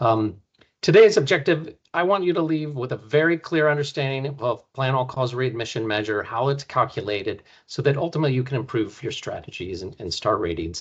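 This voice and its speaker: Speaking at a fairly quick pace, a man with a medium-pitched, somewhat breathy voice moves through very wide pitch swings. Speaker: healthcare quality advisor giving training. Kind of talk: webinar training presentation. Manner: fast.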